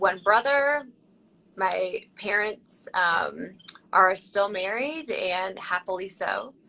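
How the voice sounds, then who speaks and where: A woman's very slow speech, medium in pitch, with a bright, sharp tone and ordinary pitch variation. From Tennessee. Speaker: surgeon. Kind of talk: interview.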